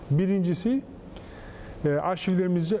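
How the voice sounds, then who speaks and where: Light background noise underlies a man speaking at a moderate pace with lively intonation. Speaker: foundations administrator and professor. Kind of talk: TV interview. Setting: studio. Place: studio. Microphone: lapel.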